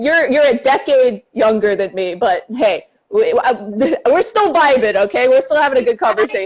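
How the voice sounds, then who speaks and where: Her tone is animated, with very wide pitch swings. The woman's voice sits high. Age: 20s. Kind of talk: casual chat. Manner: fast.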